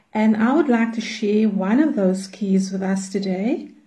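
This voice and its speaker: A woman's somewhat breathy voice, fairly high in pitch with a dark, mellow tone, ordinary pitch variation and audible room echo. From South Africa, Cape Town. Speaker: prayer movement leader. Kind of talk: teaching.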